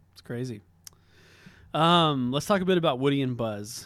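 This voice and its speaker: A plain, everyday voice from a man, fairly quick, with ordinary pitch variation. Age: 40s. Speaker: podcast co-host. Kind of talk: casual podcast chat.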